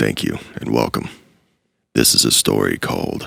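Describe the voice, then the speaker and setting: A man puts on a character voice, raspy and very deep and low, at a moderate pace. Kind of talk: casual channel intro and outro. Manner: disguised, put-on spooky voice.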